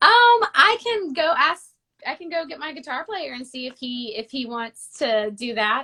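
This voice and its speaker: Raising and projecting her voice, a woman with an American accent speaks at a moderate pace in a high pitch with a bright, sharp tone, very wide pitch swings and big swings in loudness. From United States. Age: 20s. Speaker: singer. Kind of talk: casual interview. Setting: video call.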